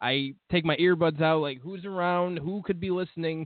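This is a man talking. He has an unremarkable speaking voice. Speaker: podcast host. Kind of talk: casual banter, comedic chat. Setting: live internet radio show.

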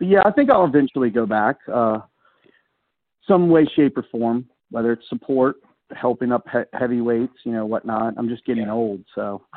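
This man has an unremarkable speaking voice, talking at a moderate pace with a medium pitch and ordinary pitch variation. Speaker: college wrestling coach. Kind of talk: casual radio chat about wrestling.

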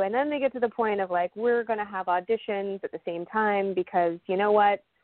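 Talking at a fairly quick pace, a woman with an American accent has an unremarkable speaking voice, a medium pitch and ordinary pitch variation. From Las Vegas, Nevada. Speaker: soap opera actress. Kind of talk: casual interview.

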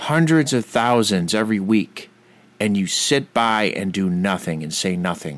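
Pitched fairly low, a man talks at a fairly slow pace with lively intonation. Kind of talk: angry rant. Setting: radio studio. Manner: indignant, sarcastic, rising in heat; preachy, emphatic, mocking tone.

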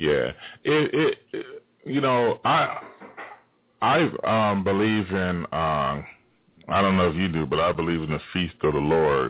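Low-pitched, a man speaks at a fairly slow pace with lively intonation.

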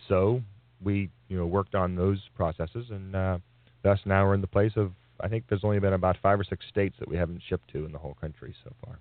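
A man's very deep, low voice at a very fast pace, with fairly even intonation and big swings in loudness. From born in Canada, raised in the Philadelphia area. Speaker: raw food business founder. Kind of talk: radio interview. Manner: halting, many fillers.

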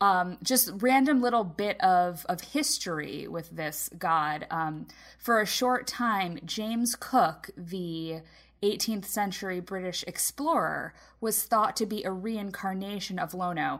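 In a very clean recording with a silent background, a woman speaks fairly slowly at a medium pitch with lively intonation. Hers is an unremarkable speaking voice. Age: 30s. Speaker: podcast co-host and parent. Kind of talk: casual chat.

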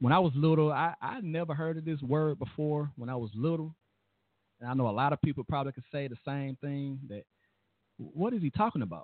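A man's plain, everyday voice, fairly high in pitch with ordinary pitch variation, at a fairly quick pace. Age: 30s. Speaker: radio host. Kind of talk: talk radio monologue.

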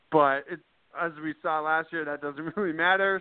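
A man with an American accent and an unremarkable speaking voice talks at a moderate pace and fairly high pitch, his intonation fairly even. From Worcester, Massachusetts. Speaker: sports blogger. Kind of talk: casual interview.

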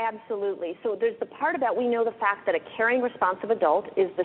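Over noticeable background noise, a woman with a fairly high pitch talks at a very fast pace. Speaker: pediatrician and author. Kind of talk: radio interview.

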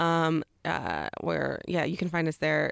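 A woman's voice comes through dry and close with no echo, in a very clean recording with a silent background. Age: 30s. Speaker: comedian. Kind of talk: casual chat. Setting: studio. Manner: animated.

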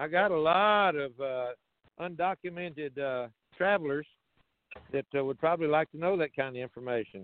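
A man talks at a moderate pace with a fairly high pitch and ordinary pitch variation. There are long, frequent pauses. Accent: American. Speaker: caller. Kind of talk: call-in question. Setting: phone call.

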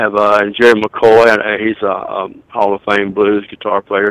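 A man speaks in a Southern US accent with a fairly low pitch and a monotone, flat intonation. The recording is dry and close, without any echo. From US South. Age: 60s. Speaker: songwriter and record label owner. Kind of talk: interview.

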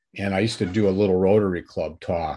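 His delivery is fairly quick. The audio is very clean, with total silence behind him. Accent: Midwestern American. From US Midwest, northern Illinois. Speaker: author and former journalist. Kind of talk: interview.

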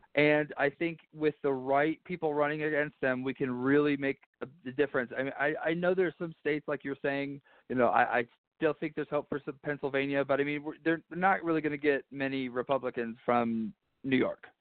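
This man has an unremarkable speaking voice and an American accent, talking at a fairly quick pace and a fairly high pitch with fairly even intonation. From Arizona. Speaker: congressional candidate. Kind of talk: phone interview. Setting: phone call.

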